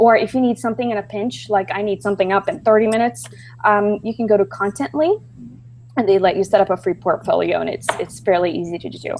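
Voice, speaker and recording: Here a woman talks at a fairly quick pace with a slight Brazilian accent. Her medium-pitched voice has lively intonation. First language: Portuguese. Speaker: B2B copywriter and webinar presenter. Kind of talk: webinar presentation. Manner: hesitant, many filler ums.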